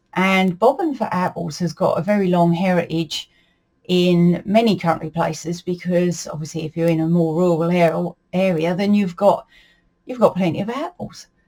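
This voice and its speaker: A woman speaks in a fairly low pitch with a dark, mellow tone, somewhat breathy. She keeps a moderate pace and fairly even intonation. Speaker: folklore and dialect storyteller. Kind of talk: casual talk-to-camera explanation. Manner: relaxed, conversational with fillers.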